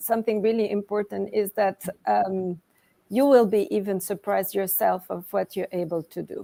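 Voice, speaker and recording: With a French accent, a woman talks fairly slowly at a medium pitch, with a dark, mellow tone, ordinary pitch variation and a dry, close sound with no echo. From Switzerland (French-speaking). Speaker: author and coach. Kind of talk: interview.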